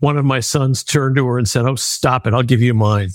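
A man talks at a medium pitch. He has a normal speaking voice. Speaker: nonprofit founder and kidney donor. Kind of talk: interview.

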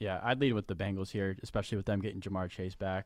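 With music in the background, a man with a very deep, low pitch talks at a very fast pace, his intonation fairly even. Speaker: sports analyst. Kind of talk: casual sports talk. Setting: studio.

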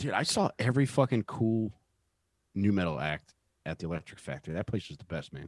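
A fairly low-pitched man at a fairly quick pace, with very wide pitch swings and big swings in loudness. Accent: Philadelphia. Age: 40s. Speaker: podcast co-host. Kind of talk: casual chat.

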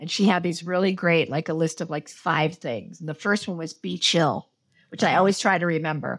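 On a very clean recording with a silent background, a woman with a fairly low pitch talks at a moderate pace with fairly even intonation. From Los Angeles, US. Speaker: television director. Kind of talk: interview conversation.

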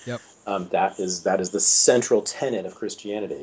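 Over noticeable background noise, a man speaks in an American accent. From California. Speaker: historian and author. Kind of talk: interview.

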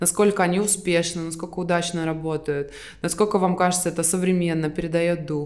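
A woman talks at a fairly low pitch. Noticeable background noise runs underneath. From Estonia. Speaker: graphic designer and fashion brand co-founder. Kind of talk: interview conversation.

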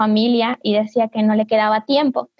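A woman speaks with a fairly high pitch. Her intonation is monotone and flat. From southern Ecuador, Loja, Cariamanga. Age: 20s. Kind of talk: casual virtual panel chat. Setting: video call.

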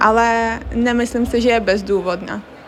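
The speech comes at a very slow pace with fairly even intonation against noticeable background noise. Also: woman. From Crimea, Ukraine. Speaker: university student. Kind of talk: interview.

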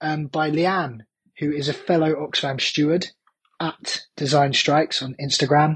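In a bright, sharp tone, a man with a fairly high pitch speaks at a moderate pace. His intonation is monotone and flat. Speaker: band singer and festival steward. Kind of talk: recorded voice message.

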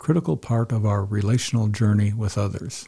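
Captured in a very clean recording with a silent background, a man speaks at a fairly quick pace, his medium-pitched voice somewhat breathy and dark, mellow in tone. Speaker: podcast host. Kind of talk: solo podcast monologue.

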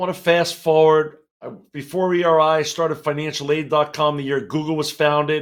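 A man talks fairly quickly in a very clean recording with a silent background. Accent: American. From New York City (Queens). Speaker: business executive. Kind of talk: interview. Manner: energetic.

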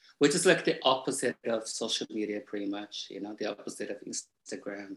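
His pitch is fairly low for a man, with ordinary variation and a slightly husky edge. The man's tone is fairly bright and his pace fairly quick.

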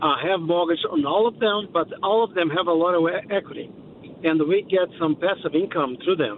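Over noticeable background noise, a man with a high pitch and lively intonation speaks at a moderate pace. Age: 60s. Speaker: small business owner. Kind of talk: phone-in question. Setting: phone call.

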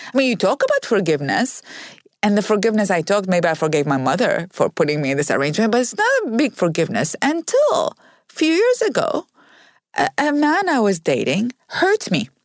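Spoken with an Arabic accent at a fairly quick pace, the voice holds a very even loudness, with a dry, close sound free of echo on a very clean recording with a silent background. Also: woman. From Iraq. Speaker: author. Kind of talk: interview conversation.

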